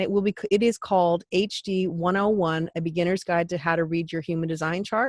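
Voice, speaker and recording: The sound is dry and close, with no echo. A woman speaks at a fairly low pitch with fairly even intonation. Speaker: human design teacher and YouTuber. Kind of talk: course announcement to camera. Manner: fast; unscripted, self-correcting.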